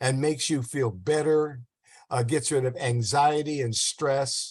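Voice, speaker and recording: This man's voice sits at a fairly high pitch and is somewhat breathy. He speaks at a very slow pace. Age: 80s+. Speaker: diet and health promoter. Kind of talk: casual interview chat. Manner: halting, repetitive.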